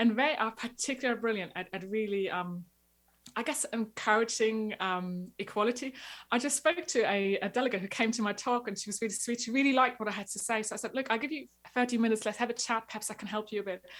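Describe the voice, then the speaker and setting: In a very clean recording with a silent background, a woman talks at a very fast pace with a fairly high pitch and an energetic tone. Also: ordinary pitch variation. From former East Germany. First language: German. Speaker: marketing coach for agencies. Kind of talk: podcast interview.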